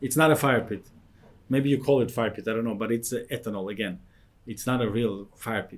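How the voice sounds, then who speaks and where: This man speaks fairly quickly at a medium pitch with a non-native accent and fairly even intonation. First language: not English. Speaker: real estate advisor. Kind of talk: property review commentary. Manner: hesitant, many uh fillers.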